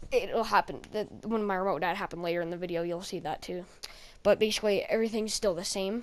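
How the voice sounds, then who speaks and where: Talking at a very fast pace, the woman holds a medium pitch with fairly even intonation. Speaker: gaming YouTuber. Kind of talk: gameplay voice-over commentary.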